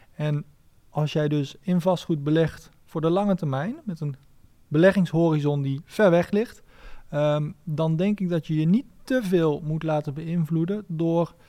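This man's voice has a dark, mellow tone and a fairly high pitch, moving at a fairly slow pace with ordinary pitch variation. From Netherlands, Nijmegen. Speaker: real estate lawyer and investor. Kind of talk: interview. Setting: studio. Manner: hesitant, many fillers.

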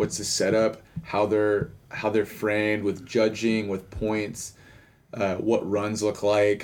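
A man with a Texan accent, fairly low-pitched, at a very slow pace. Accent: Texan American. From Houston, Texas. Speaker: podcast host. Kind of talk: scripted intro reading; casual interview chat. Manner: animated.

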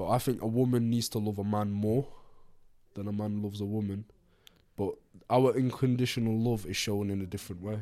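Between long, frequent pauses, a man with a fairly low pitch and a dark, mellow tone talks at a fairly quick pace. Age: 20s. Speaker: podcast co-host. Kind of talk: casual chat. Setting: studio. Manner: animated.

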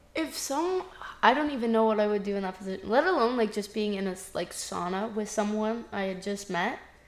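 A woman's fairly high-pitched voice at a fairly quick pace, with ordinary pitch variation, audible room echo and noticeable background noise. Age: 20s. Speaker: podcast co-host. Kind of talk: casual chat.

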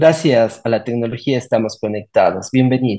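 Against a quiet background, a man talks at a moderate pace in a medium pitch with ordinary pitch variation. His tone is dark and mellow. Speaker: podcast host. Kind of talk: scripted narration; interview.

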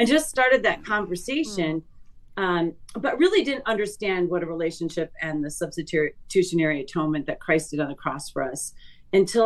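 A woman with an American accent speaks in a plain, everyday voice, pitched fairly low. Her intonation is lively and her pace fairly quick. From Chicago northern suburbs, US Midwest. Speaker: church music teacher and vocalist. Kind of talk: testimony.

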